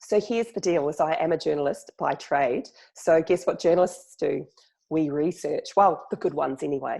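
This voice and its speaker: Recorded very cleanly with a silent background, a woman speaks in a New Zealand accent. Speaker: journalist and chatbot marketer. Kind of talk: podcast interview. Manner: fast.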